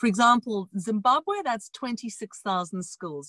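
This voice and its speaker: In a South African accent, a fairly high-pitched woman speaks at a moderate pace with lively intonation, the sound dry and close with no echo against a quiet background. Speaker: education entrepreneur. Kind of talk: interview. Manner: animated.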